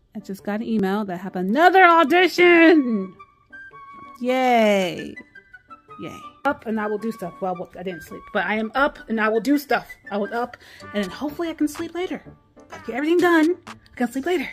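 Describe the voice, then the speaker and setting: A woman speaks at a fairly quick pace, with big swings in loudness. Faint music plays in the background. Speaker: vlogger. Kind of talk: casual vlog chat. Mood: frustrated at other driver.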